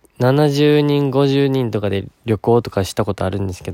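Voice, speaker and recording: In a very clean recording with a silent background, a man with a Kansai accent speaks at a moderate pace in a dark, mellow, relaxed and gentle tone, with ordinary pitch variation and a dry, close sound with no echo. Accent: Kansai Japanese. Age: 20s. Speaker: podcast host, university student. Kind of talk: casual solo talk, answering listener questions. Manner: relaxed, gentle.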